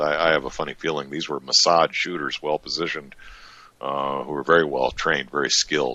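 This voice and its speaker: Very deep, low male voice with an American accent and vocal fry, in a dry, close sound with no echo. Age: 60s. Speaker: interview guest, Vietnam-era veteran. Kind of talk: casual interview. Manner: halting, many fillers.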